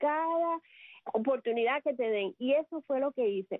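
Moderate pace and lively intonation from a woman with a high pitch. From Cuba, Sagua la Grande. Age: 50s. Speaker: communicator and public relations professional. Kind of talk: radio interview. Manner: talkative.

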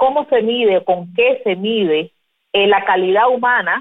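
A woman's normal speaking voice, fairly high in pitch, fairly slow, with lively intonation. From Cuba. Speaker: podcast host. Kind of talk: interview.

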